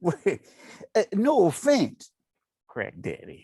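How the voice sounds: A slow, put-on character voice with a dark, mellow tone, a slightly husky edge, very wide pitch swings, and a dry, close sound with no echo. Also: man, high pitch for a man.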